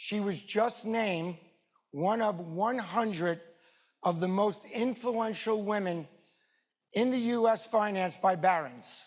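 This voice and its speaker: A high-pitched man with a New York accent and ordinary pitch variation. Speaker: event host, wealth advisor. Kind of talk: formal event introduction; read-out legal disclaimer.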